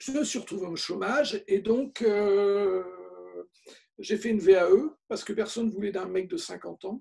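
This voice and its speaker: A man with a high pitch and a dark, mellow tone speaks with big swings in loudness. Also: ordinary pitch variation, moderate pace. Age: 60s. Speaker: photographer. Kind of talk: interview. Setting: video call. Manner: hesitant, many fillers.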